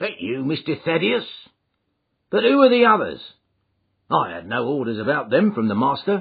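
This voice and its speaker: A man puts on a gruff character voice at a fairly high pitch, with very wide pitch swings. He keeps a moderate pace but leaves long, frequent pauses. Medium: read story. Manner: blunt.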